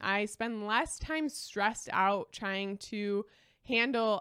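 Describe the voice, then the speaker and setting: A woman with a Midwestern US accent, a bright, sharp tone, medium pitch and a very slow pace. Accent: US Midwest. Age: 20s. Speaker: lifestyle podcaster. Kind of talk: solo monologue.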